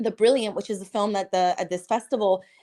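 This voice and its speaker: Speaking in a Spanish accent at a moderate pace, a woman sounds animated, with a fairly high pitch and ordinary pitch variation. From Cuba, raised in US from childhood. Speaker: filmmaker. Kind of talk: podcast interview.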